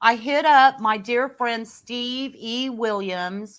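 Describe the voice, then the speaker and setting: A woman with an unremarkable speaking voice, fairly high in pitch with ordinary variation, on a very clean recording with a silent background. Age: 60s. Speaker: professional singer and keyboard player. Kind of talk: reading aloud; casual chat. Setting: live video podcast.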